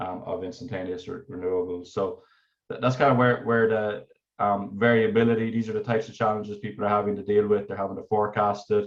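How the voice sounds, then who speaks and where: A man with an Irish accent talks at a very fast pace. His fairly low voice keeps a fairly even intonation. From Ireland. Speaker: energy researcher. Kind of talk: technical presentation. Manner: halting, many fillers and repetitions.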